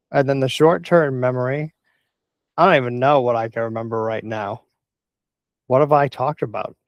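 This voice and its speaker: A man with a medium pitch talks at a fairly quick pace with ordinary pitch variation. Long pauses come often. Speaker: tech explainer video host. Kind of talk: informal explainer monologue. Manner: rambling, self-correcting.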